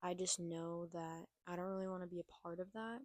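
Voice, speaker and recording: A soft-spoken woman talks at a moderate pace with monotone, flat intonation. The sound is dry and close, with no echo. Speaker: vlogger. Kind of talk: reflective monologue. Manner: quiet.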